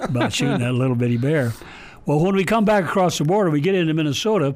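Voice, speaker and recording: Speaking very fast with lively intonation, a man uses a fairly high voice at very even loudness. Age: 80s+. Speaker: retired hunter education storyteller. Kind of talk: radio interview storytelling.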